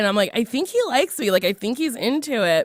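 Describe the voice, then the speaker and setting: A woman is speaking. She goes at a very fast pace. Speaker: podcast host. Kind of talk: casual chat. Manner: loud.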